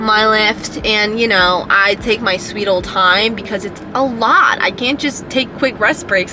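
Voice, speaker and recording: A woman speaks at a fairly slow pace. Audible room echo and noticeable background noise surround her voice. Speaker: powerlifter vlogger. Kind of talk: casual vlog talk to camera. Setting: gym.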